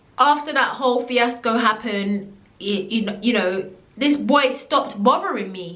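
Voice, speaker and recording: A woman speaks at a fairly high pitch with ordinary pitch variation and an animated tone. Audible room echo surrounds her voice. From Jamaica. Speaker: storytelling vlogger. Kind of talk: storytime monologue.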